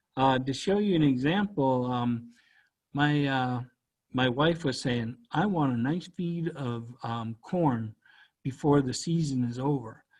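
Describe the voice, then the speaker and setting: With a Canadian Maritime accent, a man of medium pitch speaks at a very slow pace with ordinary pitch variation against a quiet background. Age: 60s. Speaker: cultural educator. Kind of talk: educational presentation.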